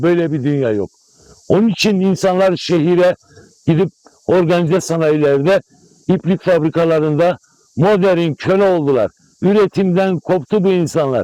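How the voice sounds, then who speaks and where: Recorded with a dry, close sound and no echo, a man with a high pitch and ordinary pitch variation speaks at a moderate pace. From Malatya, eastern Turkey. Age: 60s. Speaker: apricot farmer. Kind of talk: news interview. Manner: animated.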